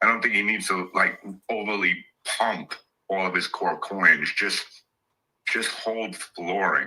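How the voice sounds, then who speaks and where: Fairly slow and marked by long, frequent pauses, a man's speech holds a fairly low pitch and fairly even intonation. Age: 60s. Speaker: crypto investor, community participant. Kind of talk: casual chat. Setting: live audio space online.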